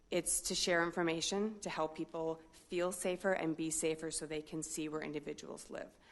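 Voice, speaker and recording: With a Midwestern accent, a woman talks at a fairly quick pace, her fairly low voice held in fairly even intonation. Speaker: corrections official. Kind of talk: public comment. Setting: city council meeting.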